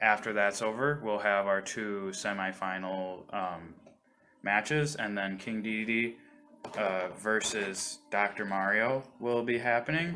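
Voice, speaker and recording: Man with a fairly low pitch and ordinary pitch variation, at a fairly slow pace, with music in the background. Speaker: livestream host and commentator. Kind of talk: video game match commentary. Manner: casual, hesitant.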